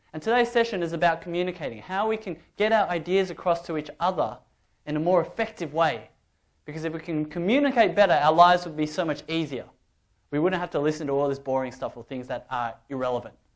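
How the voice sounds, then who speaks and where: With an Australian accent, a man talks at a very fast pace and a high pitch. His intonation is lively, and the background is quiet. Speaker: public speaking workshop trainer. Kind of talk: workshop talk. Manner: animated.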